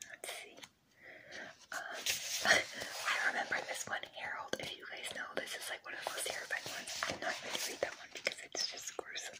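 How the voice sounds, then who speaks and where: Whispering at a moderate pace, a woman's voice swings widely in loudness over noticeable background noise. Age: 30s. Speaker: ASMR creator. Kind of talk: casual talk to camera. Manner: whispered.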